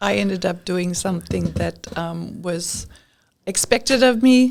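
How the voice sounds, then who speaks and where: A woman's normal speaking voice at medium pitch, with ordinary pitch variation and a fairly slow pace. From Europe, raised in many countries. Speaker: podcast guest. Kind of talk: interview. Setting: studio.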